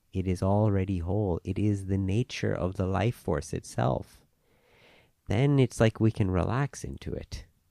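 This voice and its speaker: Over a silent background in a very clean recording, a man talks at a moderate pace with a fairly low pitch and a dark, mellow tone, the sound dry and close with no echo. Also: ordinary pitch variation. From Hong Kong and Thailand, Indian family. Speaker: yoga teacher. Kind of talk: casual chat.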